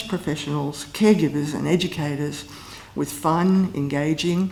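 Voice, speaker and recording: The speaker mumbles at a moderate pace with ordinary pitch variation. Noticeable background noise runs underneath. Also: woman. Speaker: former university lecturer giving a eulogy. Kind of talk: eulogy. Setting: memorial service with audience. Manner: mumbling.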